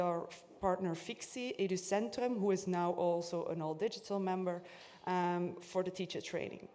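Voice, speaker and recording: An ordinary speaking voice goes along at a moderate pace. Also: woman. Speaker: conference speaker. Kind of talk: conference presentation.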